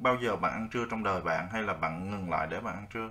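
Here is a man with an unremarkable speaking voice and a fairly low pitch. He talks at a fairly quick pace. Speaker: English teacher. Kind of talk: tutorial. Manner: casual, friendly, explanatory.

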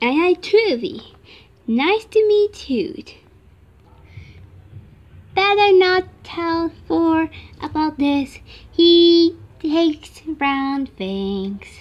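A woman speaks in a cartoonish character voice at an extremely high pitch. She talks very slowly, with lively intonation.

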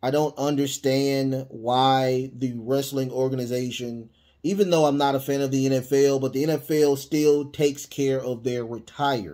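With a dark, mellow tone and fairly even intonation, a man speaks at a moderate pace over a quiet background. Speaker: podcast host. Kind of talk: opinion commentary. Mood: indignant, earnest. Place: home room. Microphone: studio mic.

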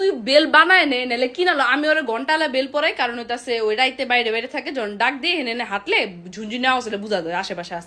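A woman's high, raised and projected voice, animated in tone with lively intonation, over noticeable background noise. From Bangladesh. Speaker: content creator. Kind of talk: vlog rant.

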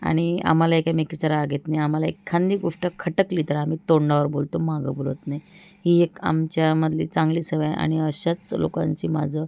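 A woman's very deep, low voice, monotone and flat, with a dark, mellow tone and a dry, close sound with no echo. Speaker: vlogger. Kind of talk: casual vlog chat. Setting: at home.

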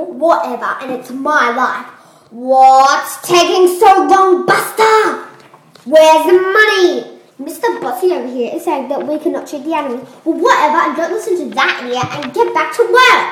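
A cartoonish character voice comes through at a high pitch. There is slight echo. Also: moderate pace. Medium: puppet show. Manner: dismissive, bossy.

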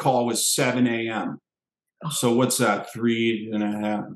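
In a quiet background with audible room echo, a man speaks at a fairly slow pace. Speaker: special guest actor. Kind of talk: interview answer. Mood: relaxed, amused. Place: home room. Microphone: headset.

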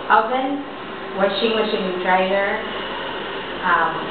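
A woman speaking very slowly, with audible room echo and noticeable background noise. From Philippines. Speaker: domestic helper. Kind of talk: job interview answer. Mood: friendly, smiling. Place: home room. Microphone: camera far.

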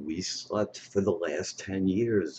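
The voice is somewhat breathy with a dark, mellow tone, heard over light background noise. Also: man. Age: 50s. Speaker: vlogger promoting an online money-making system. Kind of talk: personal video monologue. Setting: webcam recording at home. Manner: halting, with many fillers. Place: home room. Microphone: webcam.

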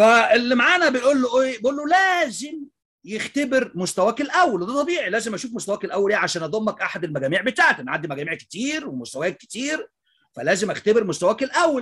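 Very wide pitch swings from a man at a fairly quick pace. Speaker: English teacher. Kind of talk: casual vlog commentary. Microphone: webcam.

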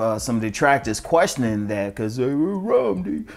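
Speech at a moderate pace over faint music in the background. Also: man. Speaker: dating advice vlogger. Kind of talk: casual advice monologue. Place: home room. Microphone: lapel.

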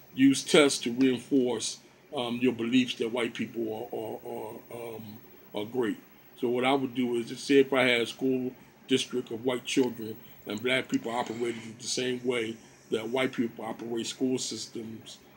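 A man's monotone, flat delivery at a moderate pace, over light background noise. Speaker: home lecturer. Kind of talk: lecture. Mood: earnest, argumentative. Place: home room. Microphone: phone near.

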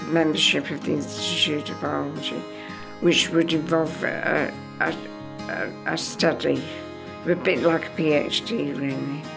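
A woman talks at a moderate speed while clear music sounds behind her. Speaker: retired virology research officer. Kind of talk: interview answer. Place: home room.

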